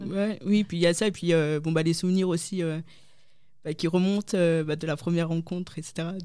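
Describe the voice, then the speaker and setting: Her intonation fairly even, a woman with a fairly low pitch talks at a moderate pace. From northern France, Lille. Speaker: convert giving faith testimony. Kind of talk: testimony. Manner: halting, many hesitations.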